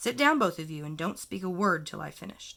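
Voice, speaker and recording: A woman's put-on, growling character voice, fairly low in pitch, with lively intonation, a fairly quick pace and big swings in loudness. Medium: read story. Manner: mournful.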